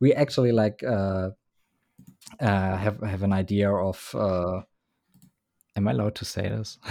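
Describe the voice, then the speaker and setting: A man with a German accent speaks in a dark, mellow tone, with ordinary pitch variation and long, frequent pauses. The recording is very clean, with a silent background. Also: fairly low pitch for a man. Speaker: band member who made the show's intro. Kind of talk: casual chat.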